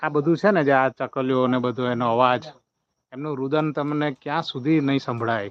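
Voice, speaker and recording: An unremarkable speaking voice from a man, medium in pitch, with fairly even intonation. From Gujarat, Vadodara district. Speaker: YouTuber. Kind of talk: live stream farm tour. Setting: outdoors.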